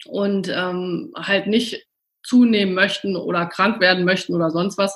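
A woman speaks at a fairly slow pace, her voice somewhat breathy and her intonation fairly even. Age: 40s. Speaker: nutritionist. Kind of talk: interview. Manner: hesitant, many fillers.

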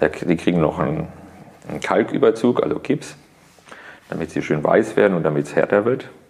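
Over noticeable background noise, a man talks at a fairly quick pace with lively intonation and long, frequent pauses. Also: fairly low pitch for a man. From Karlsruhe, Germany. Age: 30s. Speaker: artist. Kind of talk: interview. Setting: artist's studio.

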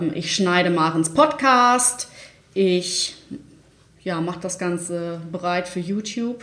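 A woman at medium pitch, very slow pace with long, frequent pauses, ordinary pitch variation and noticeable background noise. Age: 30s. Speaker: online marketing manager. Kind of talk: casual interview. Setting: studio, sitting next to host.

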